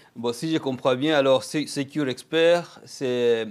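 A man with a fairly high pitch and ordinary pitch variation is heard on a very clean recording with a silent background. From DR Congo. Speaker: interviewer. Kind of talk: interview. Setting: Toronto, on location. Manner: hesitant, many fillers.

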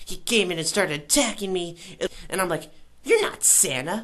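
A woman's fairly low-pitched voice. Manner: fast, rambling, excited, with sound effects.

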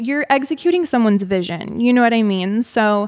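The background stays quiet. A woman talks in an American accent. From Arizona. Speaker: influencer and business founder; influencer. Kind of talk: interview. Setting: at her home. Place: home room. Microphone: studio mic.

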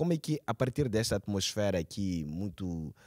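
A man speaks against a quiet background. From Mozambique. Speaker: cultural journalist and TV presenter; cultural journalist, TV presenter. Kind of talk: interview. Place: hall. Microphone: handheld.

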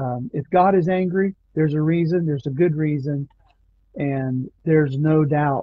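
The speech comes at a fairly slow pace with ordinary pitch variation. The sound is dry with no echo, over a quiet background. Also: man. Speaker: Bible study leader. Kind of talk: Bible study discussion. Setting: online video stream. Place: home room. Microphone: video call.

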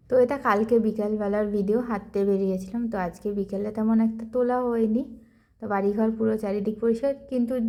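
Her voice is fairly high in pitch with a dark, mellow tone and monotone, flat intonation. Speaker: vlogger. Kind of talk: vlog narration.

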